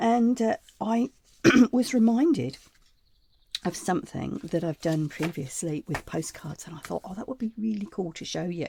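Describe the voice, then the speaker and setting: At a moderate pace, with long, frequent pauses, a somewhat breathy voice with a dark, mellow tone moves through very wide pitch swings and big swings in loudness, recorded with a dry, close sound with no echo. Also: woman, medium pitch for a woman. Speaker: crafting channel host. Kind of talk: tutorial. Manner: casual, chatty.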